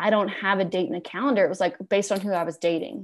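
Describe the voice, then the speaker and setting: A woman with a medium pitch and ordinary pitch variation races along at a very fast pace over a quiet background. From Alabama. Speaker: podcast host and business owner. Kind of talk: interview. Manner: animated.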